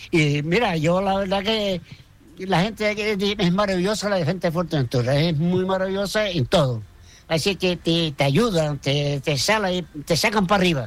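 A man speaks with a high pitch and ordinary pitch variation. His pace is moderate and his loudness very even. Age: 80s+. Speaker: retired barber. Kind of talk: interview. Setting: at home.

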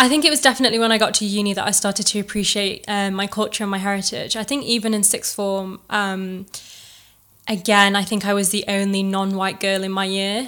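A woman with an East Midlands accent talks fairly quickly in a medium-pitched voice with fairly even intonation. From Chesterfield, England. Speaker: recent law graduate and content creator. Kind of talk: casual interview. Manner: hesitant, with many fillers.

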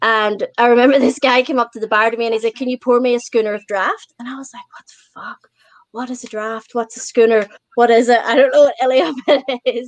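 With a non-native accent, the speaker moves at a fairly quick pace. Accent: non-Australian accent, easy to understand. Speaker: podcast guest. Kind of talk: casual chat. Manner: animated storytelling.

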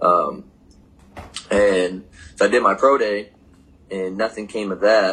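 A man speaks very slowly with an American accent. He leaves long, frequent pauses. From Michigan, US Midwest. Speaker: pro football player. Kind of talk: casual interview. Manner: casual, halting with many fillers.

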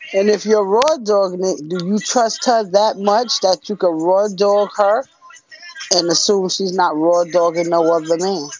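At a fairly slow pace, a voice with an American accent speaks over music in the background. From US Northeast, Newark area. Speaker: listener sending voice message. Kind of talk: casual voice message.

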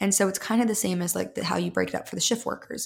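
With an American accent, a woman speaks at a medium pitch with ordinary pitch variation and some vocal fry. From US Midwest. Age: 20s. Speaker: habit and routine coach. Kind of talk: casual chat.

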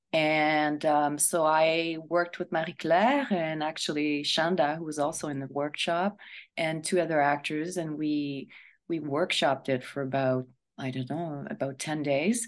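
A woman with a very deep, low pitch speaks at a fairly slow pace and fairly even intonation in a Quebec French accent. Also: quiet background. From Quebec, Montreal. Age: 50s. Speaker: actress. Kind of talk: radio interview.

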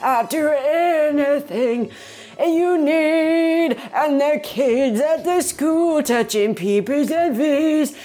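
A female-sounding, put-on character voice speaks at a very slow pace over light background noise. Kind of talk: solemn, pastoral.

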